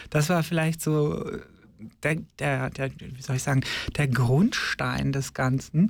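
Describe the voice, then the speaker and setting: A somewhat breathy, fairly high male voice at a very slow pace, with ordinary pitch variation and long, frequent pauses. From Germany, Ostwestfalen-Lippe (North Rhine-Westphalia). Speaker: drag nun / queer activist. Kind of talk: radio interview. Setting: studio.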